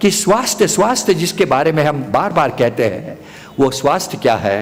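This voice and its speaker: A man with a fairly high pitch and very wide pitch swings, over noticeable background noise. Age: 80s+. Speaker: physician. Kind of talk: speech at religious gathering.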